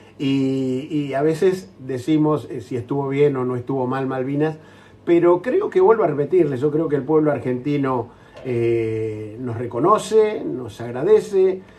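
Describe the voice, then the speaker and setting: Noticeable background noise sits behind a man with a fairly high pitch. He speaks at a fairly slow pace with lively intonation. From Argentina. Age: 60s. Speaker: war veteran. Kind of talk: interview.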